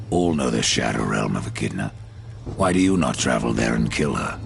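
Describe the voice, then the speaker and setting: Putting on a character voice, a man speaks at a fairly quick pace with a very deep, low pitch over clear background noise. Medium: video game. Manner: terse, dry.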